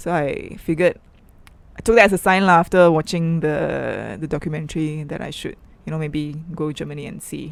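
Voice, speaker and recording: With a Malaysian accent, a woman speaks at a fairly low pitch. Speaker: artist and activist. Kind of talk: interview. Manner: soft-spoken.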